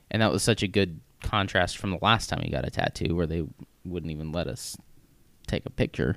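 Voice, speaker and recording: Very deep and low-pitched with vocal fry, a man with an American accent speaks at a fairly quick pace and ordinary pitch variation, on a very clean recording with a silent background. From US Midwest, Missouri. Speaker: podcast co-host. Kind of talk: casual chat.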